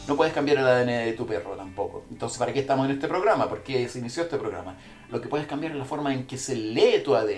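The speech moves at a very fast pace with ordinary pitch variation. Audible room echo and noticeable background noise are present. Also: man, medium pitch for a man. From Chile. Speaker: podcast host, animal consultant. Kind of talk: casual livestream monologue; guided breathing exercise. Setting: livestream from a bathroom, in an ice bath. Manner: halting, many fillers and repetitions.

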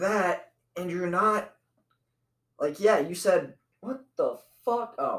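Very slow delivery from a male speaker, long pauses breaking in again and again. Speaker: comedy podcast host. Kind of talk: casual chat. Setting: home studio. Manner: loud; animated.

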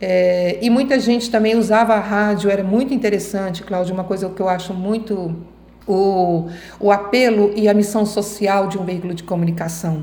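With audible room echo, a woman speaks at a moderate pace in a dark, mellow tone and fairly even intonation. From Goiânia, Brazil. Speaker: radio and TV journalist. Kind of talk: interview.

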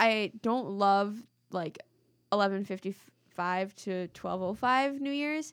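A woman speaks at a very slow pace with lively intonation and a medium pitch, recorded very cleanly against a silent background. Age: 20s. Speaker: podcast co-host. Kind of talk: casual chat. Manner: animated.

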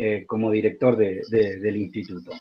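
This is a man speaking. His pitch sits fairly low. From Argentina, central-north Formosa. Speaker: writer and teacher. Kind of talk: literary talk and reading aloud.

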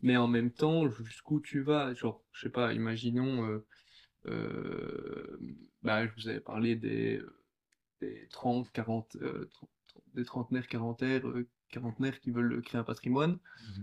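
The speaker goes at a very slow pace. The intonation is fairly even. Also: man, medium pitch for a man. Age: 20s. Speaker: consultant. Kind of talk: casual chat.

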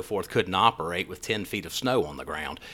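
A man with an American accent, bright and sharp in tone, at a fairly quick pace with ordinary pitch variation. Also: very clean recording, silent background. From US South, Raleigh, North Carolina. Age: 50s. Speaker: physician podcast host. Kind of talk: casual solo podcast monologue. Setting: studio.

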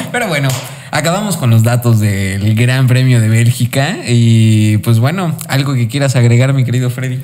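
Noticeable background noise sits behind this man. He speaks at a medium pitch with a Mexican accent. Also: ordinary pitch variation, moderate pace. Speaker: motorsport podcast host. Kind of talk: casual chat.

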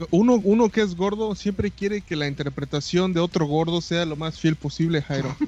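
A high-pitched man's voice with a Mexican accent. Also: ordinary pitch variation, moderate pace. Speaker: podcast co-host. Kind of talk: casual chat.

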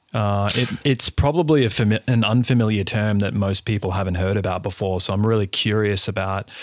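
On a very clean recording with a silent background and a dry, close sound free of echo, a man with an unremarkable speaking voice talks fairly quickly at a fairly low pitch, his intonation fairly even and his loudness very even. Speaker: podcast host. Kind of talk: interview.

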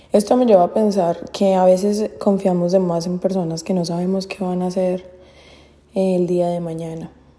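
Noticeable background noise sits behind a woman speaking at medium pitch with monotone, flat intonation. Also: moderate pace. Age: 20s. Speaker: podcaster. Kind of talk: casual monologue.

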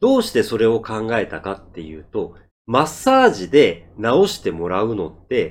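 On a very clean recording with a silent background, a man is speaking. He goes at a fairly slow pace. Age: 50s. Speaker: Japanese-learning podcaster and driver. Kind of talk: monologue for Japanese learners. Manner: slow, deliberate speech.

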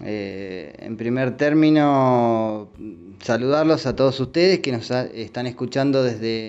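Ordinary pitch variation marks this speech, delivered at a very slow pace. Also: man. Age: 40s. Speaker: digital radio director. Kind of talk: recorded voice message. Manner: halting, many fillers.

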